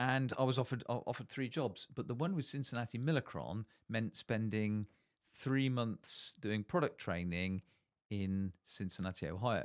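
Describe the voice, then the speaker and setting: On a very clean recording with a silent background and a dry, close sound with no echo, a man with a Bristol accent talks at a moderate pace with lively intonation. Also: medium pitch for a man. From Bristol, South West England. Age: 60s. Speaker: managing director in manufacturing. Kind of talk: casual interview.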